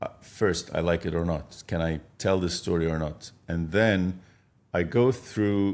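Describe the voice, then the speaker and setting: This man's voice is pitched very deep and low, with ordinary variation and an Arabic accent. The recording is very clean, with a silent background. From Egypt. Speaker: film director and producer. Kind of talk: podcast interview.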